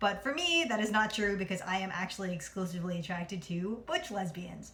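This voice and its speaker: Over noticeable background noise, a woman with an American accent talks at a fairly quick pace and medium pitch. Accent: New Jersey accent, lighter on camera. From New Jersey. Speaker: vlogger. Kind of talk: casual vlog monologue. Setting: at home. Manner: fast.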